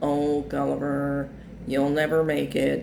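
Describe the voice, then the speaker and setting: A man puts on a whiny, drawling character voice at a fairly slow pace. Background noise is clear. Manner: pessimistic, discouraging.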